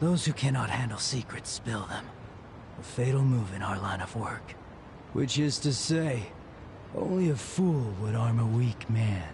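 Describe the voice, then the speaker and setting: A man's put-on character voice, medium in pitch, at a moderate pace over clear background noise. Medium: short film. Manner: measured, cold.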